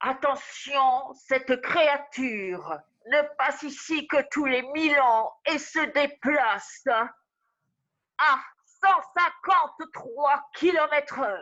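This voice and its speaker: At a very slow pace, a woman puts on a character voice pitched high. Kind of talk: improvised scene.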